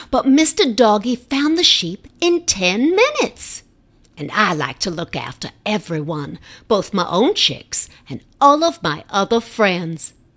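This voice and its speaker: In a put-on character voice that sounds female, the speaker uses a medium pitch with very wide pitch swings at a fairly slow pace. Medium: read story. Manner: warm, motherly.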